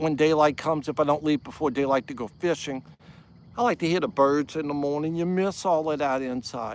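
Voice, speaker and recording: Fairly high-pitched for a man, this man with an American accent speaks at a moderate pace with ordinary pitch variation. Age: 60s. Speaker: fisherman and camper. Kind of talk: casual livestream talk by a campfire. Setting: outdoors. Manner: relaxed, reflective.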